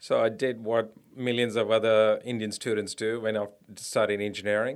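The recording is very clean with a silent background. A man speaks at a fairly quick pace in a fairly low pitch with monotone, flat intonation. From India. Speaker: tech company CEO. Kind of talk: interview.

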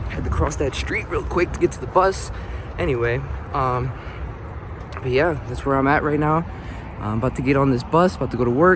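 Noticeable background noise runs behind a man with an American accent. He leaves long, frequent pauses. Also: fairly quick pace. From North Philadelphia, US. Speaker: motivational vlogger. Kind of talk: casual vlog monologue. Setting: outdoors, walking to bus stop.

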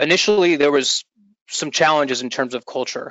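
A man with an unremarkable speaking voice talks at a fairly quick pace. His pitch is fairly high, with ordinary variation. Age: 40s. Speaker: entrepreneur and startup executive. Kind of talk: interview. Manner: casual, filler-heavy.

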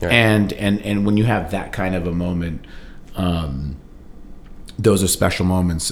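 At a fairly slow pace with long, frequent pauses, a man with a very deep, low voice speaks with ordinary pitch variation amid audible room echo. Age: 40s. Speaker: musician and record collector. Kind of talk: casual chat. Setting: in-person recording at guest's home. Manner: animated.

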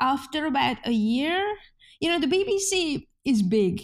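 On a very clean recording with a silent background, a woman with a Hungarian accent speaks at a moderate pace in a high voice with very wide pitch swings. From Hungary. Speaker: journalist. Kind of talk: interview.

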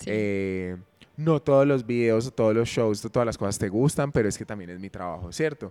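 On a very clean recording with a silent background, the speaker talks at a fairly quick pace in a dark, mellow tone with big swings in loudness. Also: man, fairly low pitch for a man, ordinary pitch variation. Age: 20s. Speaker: dancer and dance teacher. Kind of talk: casual chat. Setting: gym.

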